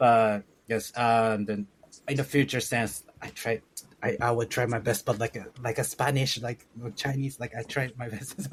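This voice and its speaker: A man with a Japanese accent speaks at a moderate pace and medium pitch. His voice is somewhat breathy, with fairly even intonation. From northern Japan. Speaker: author and education entrepreneur. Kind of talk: podcast interview. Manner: halting.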